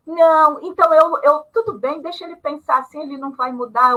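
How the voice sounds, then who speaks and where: A woman projects a raised, high-pitched voice with a bright, sharp tone. Her intonation is lively and her pace moderate. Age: 60s. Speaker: retired panel guest on ageing. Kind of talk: live panel discussion.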